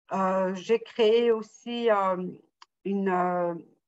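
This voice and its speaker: A woman speaks with fairly even intonation. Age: 60s. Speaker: salesperson retraining as closer. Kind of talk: interview testimony.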